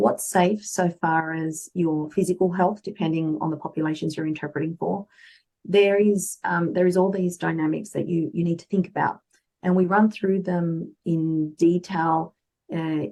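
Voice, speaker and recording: A woman speaks with an Australian accent in a dark, mellow tone at a fairly low pitch. Her pitch variation is ordinary and her pace moderate. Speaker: medical interpreter and translator. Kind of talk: interview.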